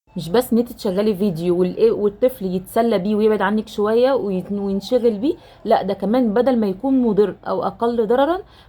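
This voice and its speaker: A woman with an Egyptian accent, fairly high in pitch, at a moderate pace with ordinary pitch variation. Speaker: nurse and mother. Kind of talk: casual talk to camera.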